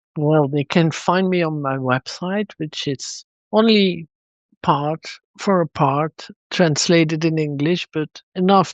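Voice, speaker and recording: Someone with a Dutch accent speaks at a fairly slow pace. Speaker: psychotraumatologist and author. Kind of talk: interview podcast.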